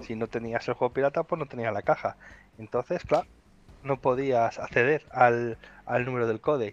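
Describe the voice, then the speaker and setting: A man talks at a medium pitch and moderate pace in an unremarkable speaking voice with fairly even intonation. The sound is dry and close, with no echo. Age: 30s. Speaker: podcast co-host. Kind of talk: casual chat.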